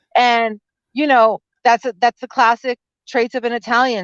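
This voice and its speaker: Animated in tone, a woman with a fairly high pitch speaks at a moderate pace, the sound dry and close with no echo over a quiet background. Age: 40s. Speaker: lawyer and small business consultant. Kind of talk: casual chat. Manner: loud, animated.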